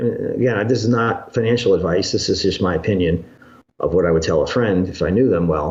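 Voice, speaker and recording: Somewhat breathy and at a fairly quick pace, a man speaks with a fairly low pitch, ordinary pitch variation and very even loudness. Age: 60s. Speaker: financial commentator. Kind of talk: interview. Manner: halting.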